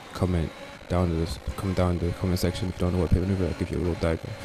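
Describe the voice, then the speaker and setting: With noticeable background noise, a man speaks at a very deep, low pitch. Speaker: gaming video commentator. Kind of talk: gameplay commentary.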